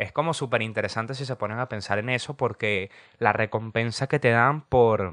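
Recorded with a dry, close sound and no echo against a quiet background, a man speaks at a medium pitch with ordinary pitch variation. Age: 20s. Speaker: podcast host. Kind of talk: casual monologue. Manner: animated.

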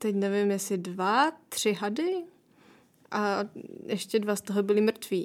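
On a very clean recording with a silent background, a woman talks at a fairly slow pace in a fairly high pitch. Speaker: traveller and author. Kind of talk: interview.

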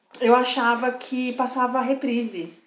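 A woman speaks in a high voice with an animated tone. The room echo is audible. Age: 30s. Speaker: podcast co-host. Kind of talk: casual chat.

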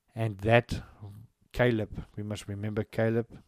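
Speaking with a South African accent, a man has a fairly low pitch and monotone, flat intonation. His tone is dark and mellow, and the sound is dry and close with no echo. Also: very clean recording, silent background. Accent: South African (Afrikaans) English. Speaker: lay preacher and online radio broadcaster. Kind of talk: Bible teaching broadcast. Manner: halting, with frequent restarts.

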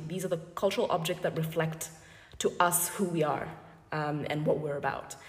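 Over noticeable background noise and audible room echo, a woman speaks with a very deep, low pitch. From Botswana. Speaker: sociologist and gallery owner. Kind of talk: interview conversation. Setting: gallery, in person. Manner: hesitant, many fillers.

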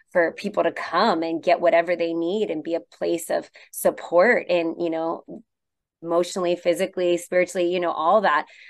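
The woman's fairly low voice moves at a fairly quick pace in a monotone, flat intonation. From Hawaii, Maui. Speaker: pastor. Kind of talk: radio interview.

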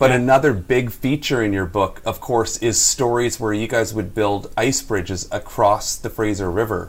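A man at a medium pitch sounds somewhat breathy, talking at a moderate pace with ordinary pitch variation and hardly any pauses. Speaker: co-host of podcast. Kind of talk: casual interview chat.

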